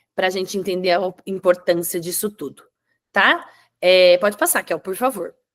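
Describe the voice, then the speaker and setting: A woman with an ordinary speaking voice, medium pitch, fairly even intonation and a moderate pace. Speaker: webinar presenter on digital content. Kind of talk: webinar presentation.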